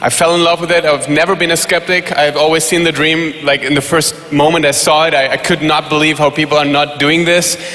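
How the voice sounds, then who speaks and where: The speech moves at a fairly quick pace in a monotone, flat intonation. Noticeable background noise is present. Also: man. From Germany. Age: 20s. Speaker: network marketer. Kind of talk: panel introduction.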